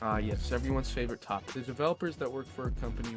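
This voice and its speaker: A man speaks with music in the background. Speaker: gamer, video commentator. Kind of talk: comedic rant commentary.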